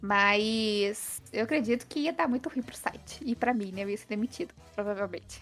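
A woman with a fairly high pitch speaks at a moderate pace, and her pitch varies in an ordinary way. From Minas Gerais, Brazil (interior, Passos). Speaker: gaming content creator and writer. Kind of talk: casual interview chat.

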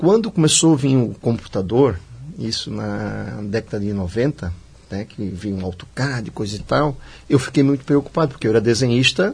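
A man's somewhat breathy voice at a moderate pace. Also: medium pitch for a man, lively intonation. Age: 50s. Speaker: civil engineering student and former construction worker. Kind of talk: radio interview. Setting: radio studio.

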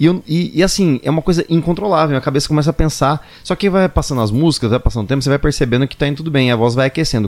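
The man's voice shows ordinary pitch variation. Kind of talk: casual interview chat.

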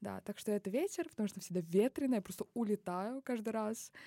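A woman's medium-pitched voice with a dark, mellow tone comes through dry and close with no echo, on a very clean recording with a silent background. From Kazakhstan, Baikonur. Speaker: linguistics graduate student. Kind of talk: casual interview. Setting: studio.

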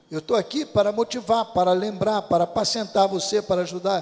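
A man speaks at a very fast pace. Noticeable background noise sits under his voice. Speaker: pastor. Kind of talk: sermon.

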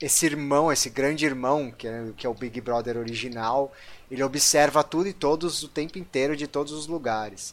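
Here is an ordinary speaking voice: a man at a medium pitch and moderate pace, with ordinary pitch variation. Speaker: podcast host, computer scientist. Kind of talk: casual chat.

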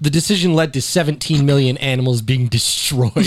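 Noticeable background noise is present. A man talks over it. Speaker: podcast host. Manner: casual, swears a lot.

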